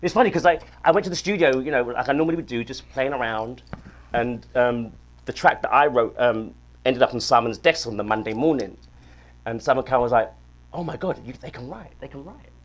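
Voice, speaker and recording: A man with a British accent at medium pitch, fairly quick in pace, with ordinary pitch variation and big swings in loudness. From South London, England. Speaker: singer-songwriter. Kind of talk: casual interview. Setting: studio.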